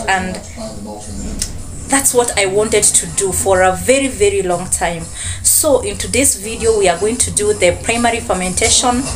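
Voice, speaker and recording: Moderate-paced female speech over clearly audible background music. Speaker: student vlogger. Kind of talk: casual vlog chat. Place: home room. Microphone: phone near.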